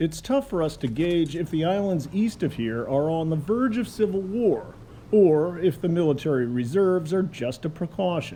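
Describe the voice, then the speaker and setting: A high-pitched man with an American accent, lively intonation, a moderate pace, and hardly any pauses. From United States. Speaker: war correspondent and documentary narrator. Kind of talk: documentary narration.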